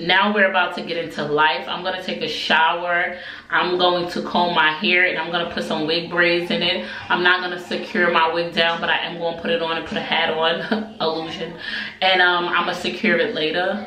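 Music plays behind a woman whose fairly low voice carries monotone, flat intonation. She speaks at a moderate pace, with audible room echo. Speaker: family vlogger. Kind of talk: casual vlog chat. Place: bathroom.

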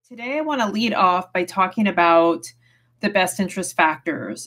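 A woman speaks with lively intonation. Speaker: family law attorney. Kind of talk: tutorial. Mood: calm, earnest. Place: home room. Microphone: webcam.

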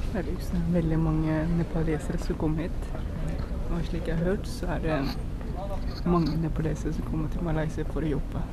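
Loud background noise under a man's moderately paced speech. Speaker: travel vlogger. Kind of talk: casual vlog chat. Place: station. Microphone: phone near.

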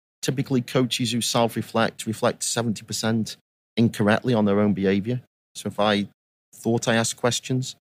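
A man with a Staffordshire accent speaks at a medium pitch with fairly even intonation. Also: dry, close sound with no echo. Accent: English Midlands (Potteries). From England, Stoke-on-Trent. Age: 50s. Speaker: youth soccer coach educator. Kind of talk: interview.

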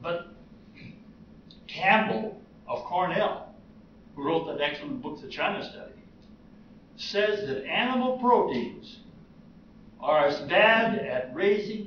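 Speaking very slowly in an American accent, a man with a high voice swings his pitch very widely and leaves long, frequent pauses, with audible room echo and light background noise. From United States. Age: 80s+. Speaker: retired heart surgeon, vegan. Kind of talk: interview answer. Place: hall. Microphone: camera far.

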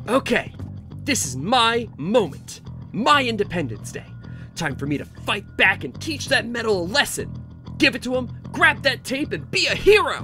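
Over clear background music, the voice moves at a moderate pace with very wide swings in pitch. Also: man, high pitch for a man. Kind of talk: comic overacting. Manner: frantic, excitable, melodramatic.

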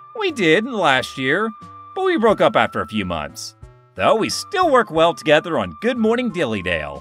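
A man's put-on character voice, high-pitched for a man, at a moderate pace with faint music in the background. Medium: dub. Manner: upbeat.

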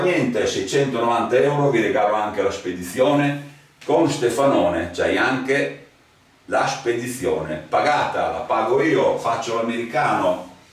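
A man talks at a fairly slow pace. His pitch is fairly high, and there is noticeable background noise. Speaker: metal detector seller. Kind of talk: sales pitch. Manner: animated.

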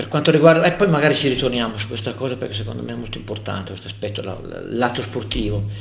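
Over noticeable background noise, a man talks at a very fast pace with big swings in loudness. His pitch is medium, with ordinary variation. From Lombardy, northern Italy. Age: 60s. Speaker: local politician. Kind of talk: interview. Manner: talkative.

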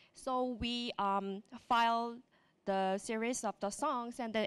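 Fairly high in pitch, a woman speaks at a fairly slow pace with fairly even intonation. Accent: Korean. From South Korea. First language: Korean. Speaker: web developer and speaker. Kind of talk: conference talk. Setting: stage with audience. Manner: halting, hesitant with fillers. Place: hall. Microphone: handheld.

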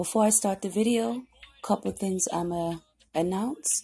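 Her voice is dark and mellow, somewhat breathy, as the woman speaks at a fairly slow pace. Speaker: tarot reader. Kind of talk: casual vlog chat. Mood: calm, relaxed.

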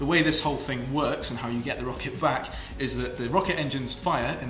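A man talks fairly quickly. Behind him, music plays. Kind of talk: tutorial. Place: workshop.

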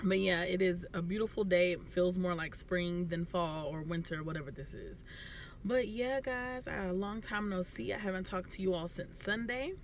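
A woman at a moderate pace with ordinary pitch variation, a dry sound with no echo, and light background noise. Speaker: family vlogger. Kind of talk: casual vlog chat. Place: car. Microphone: phone near.

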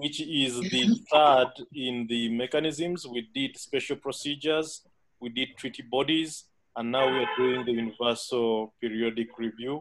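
With music in the background, a man speaks at a fairly slow pace with fairly even intonation. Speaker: instructor. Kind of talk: lecture. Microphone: video call.

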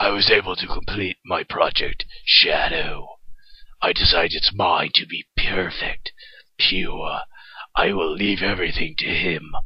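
A man speaks in a raspy, put-on character voice. His pace is fairly slow. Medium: dub.

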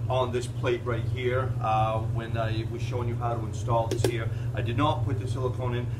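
A man talks at a very fast pace. There is noticeable background noise. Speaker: presenter. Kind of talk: tutorial. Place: garage. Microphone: camera far.

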